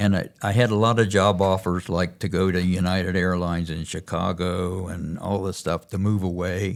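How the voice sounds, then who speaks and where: A man's very deep, low voice at a moderate pace, monotone and flat, with hardly any pauses. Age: 80s+. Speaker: church member. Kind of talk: casual chat. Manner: halting.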